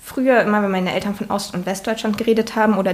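Over noticeable background noise, a woman talks very fast at a medium pitch with monotone, flat intonation. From eastern Germany, Saxony-Anhalt. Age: 20s. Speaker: state parliament member. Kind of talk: interview. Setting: home kitchen.

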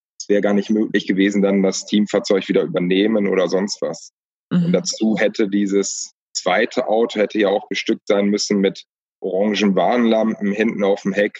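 This man has a normal speaking voice with a fairly low pitch. His intonation is fairly even and his pace moderate. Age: 30s. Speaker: cycling support crew member. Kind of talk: casual interview.

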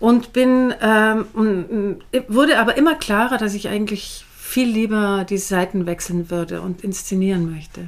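Her pace is fairly slow. The woman's medium pitch shows ordinary variation. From Bavaria, Garmisch-Partenkirchen. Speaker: theatre director. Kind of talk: interview. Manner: hesitant, many filler sounds.

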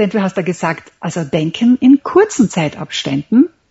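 A somewhat breathy woman talks at a fairly slow pace with lively intonation. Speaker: memory champion and author. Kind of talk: interview. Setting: Skype call. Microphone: internet call audio, sounds somewhat different.

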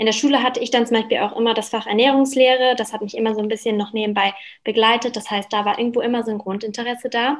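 A woman talks at a very fast pace with a fairly high pitch. Her intonation stays fairly even. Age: 20s. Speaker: cookbook author. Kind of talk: casual interview.

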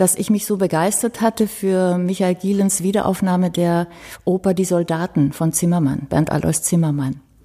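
A woman at medium pitch and a fairly slow pace, with a dark, mellow tone and ordinary pitch variation. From Romania, German minority family. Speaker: violinist. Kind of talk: casual interview. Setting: ensemble house.

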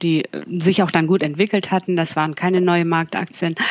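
Speaking fairly quickly, a woman keeps her fairly low voice flat and monotone. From northern Germany (Bremen). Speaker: financial journalist. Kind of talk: interview.

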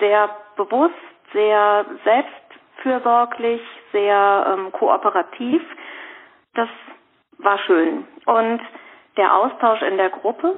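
Very slow speech from a woman, with ordinary pitch variation. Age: 50s. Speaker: rheumatism patient and course trainer. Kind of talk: casual interview. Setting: phone call. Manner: hesitant, many fillers. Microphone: reduced phone-line quality.

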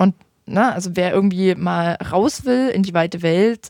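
In a dry, close sound with no echo, a woman at medium pitch uses a dark, mellow tone and a fairly slow pace. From Saxony, Vogtland. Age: 20s. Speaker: youth politician. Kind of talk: interview.

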